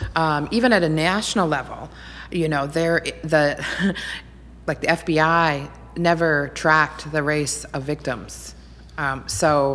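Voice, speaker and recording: This voice carries vocal fry and fairly even intonation. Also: woman. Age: 40s. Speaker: nonprofit director. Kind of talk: interview conversation.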